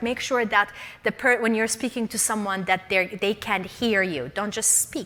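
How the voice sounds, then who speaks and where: A woman with a bright, sharp tone speaks at a fairly high pitch with lively intonation. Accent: non-native. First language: not English. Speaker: leadership speaker and coach. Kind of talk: workshop talk. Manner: animated.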